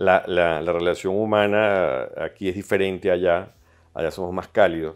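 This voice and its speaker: Against a quiet background, a man speaks at a fairly slow pace. His voice is very deep and low, with monotone, flat intonation. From Venezuela (Caracas). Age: 60s. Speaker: pediatrician and clinic founder. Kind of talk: interview. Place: studio. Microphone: lapel.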